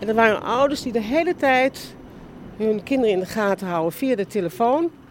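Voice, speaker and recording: Here is a woman with a normal speaking voice and a fairly high pitch. She moves at a moderate pace with lively intonation. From Netherlands, Amsterdam. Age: 60s. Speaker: film and TV director and producer. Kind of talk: casual interview on a walk. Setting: outdoors, walking in a park.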